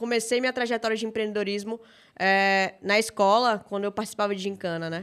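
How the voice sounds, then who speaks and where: A woman with a Bahian accent speaks at a fairly high pitch with fairly even intonation. The recording is very clean, with a silent background. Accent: Bahian Brazilian Portuguese. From Salvador, Bahia, Brazil. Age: 30s. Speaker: startup founder and CEO. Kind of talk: podcast interview.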